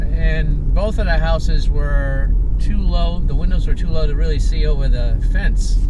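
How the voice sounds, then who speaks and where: Long, frequent pauses mark the speech, heard as a dry sound with no echo over loud background noise. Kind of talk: casual conversation. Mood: relaxed reminiscing. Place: car. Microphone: camera far.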